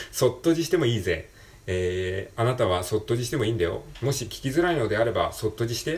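His pitch moves through very wide swings. The man keeps to a moderate pace. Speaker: podcaster. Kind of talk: casual solo talk, English practice. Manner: halting, many fillers.

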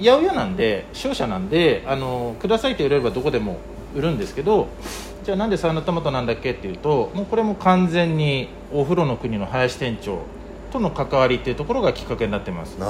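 Against noticeable background noise, a man with a fairly high voice talks very fast, his pitch swinging very widely. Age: 40s. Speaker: market vegetable wholesaler. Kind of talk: interview. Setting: workspace at a market.

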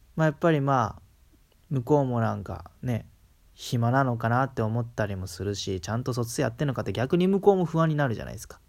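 A man with a medium-pitched voice talks very fast with lively intonation and big swings in loudness, in a very clean recording with a silent background. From Kansai, Japan. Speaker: solo podcaster. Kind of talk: casual monologue. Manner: hesitant, many fillers.

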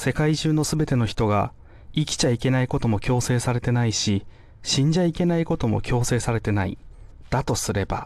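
A man in a normal speaking voice, medium pitch, ordinary pitch variation, fairly quick pace, very even loudness. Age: 30s. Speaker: comedian. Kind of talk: scripted monologue. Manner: casual.

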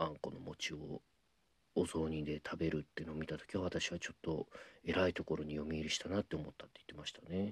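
The voice has vocal fry, ordinary pitch variation and big swings in loudness. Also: man. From Ehime, Shikoku, Japan. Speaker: apprentice rakugo storyteller. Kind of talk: casual solo talk answering listener mail. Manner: many filler words (えー, あの).

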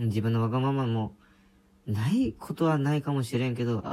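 A man talks with ordinary pitch variation. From rural Japan. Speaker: podcaster. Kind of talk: casual monologue. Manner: hesitant, many fillers.

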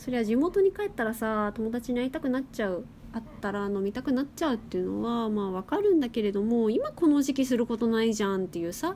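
A woman speaks at a very fast pace with hardly any pauses. Her voice sits fairly high, with lively intonation. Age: 20s. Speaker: podcast host. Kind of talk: casual monologue. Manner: casual.

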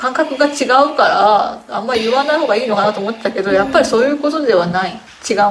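Over noticeable background noise, a woman speaks very fast in a high pitch with lively intonation. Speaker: podcast host. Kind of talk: casual chat. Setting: home.

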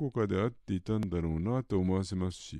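A man's dark, mellow voice with ordinary pitch variation against a quiet background. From Yokohama, Japan. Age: old. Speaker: podcast host, film fan. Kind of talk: prepared solo monologue.

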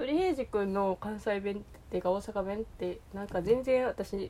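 This woman talks at a moderate pace in a Kansai accent. Her tone is dark and mellow, with ordinary pitch variation. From Kansai region, Japan. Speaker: podcaster. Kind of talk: solo monologue. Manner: halting, many fillers.

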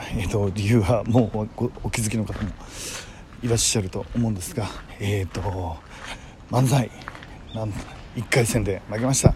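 Over noticeable background noise, a man speaks at a moderate pace with fairly even intonation. His voice is fairly low, and he takes long, frequent pauses. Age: 50s. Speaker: podcaster and amateur manzai comedian. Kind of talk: personal monologue. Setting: outdoors, walking home. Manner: halting, many fillers.

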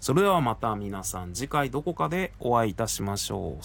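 Using vocal fry, a man with a fairly low pitch speaks at a moderate pace, his pitch swinging very widely. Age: 40s. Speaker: podcaster. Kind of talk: casual personal update monologue. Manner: conversational, rambling with fillers.

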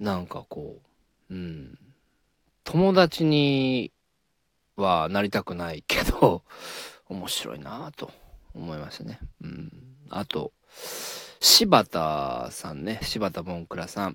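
In a very clean recording with a silent background and a dry, close sound with no echo, a man speaks very slowly at a very deep, low pitch, with very wide pitch swings, big swings in loudness, and long, frequent pauses. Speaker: radio talk podcaster; comedian. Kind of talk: casual solo monologue.

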